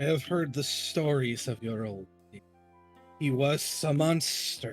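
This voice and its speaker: A put-on character voice goes at a fairly slow pace with hissing and faint music in the background. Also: man, fairly high pitch for a man. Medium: actual play. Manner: terse, hissing.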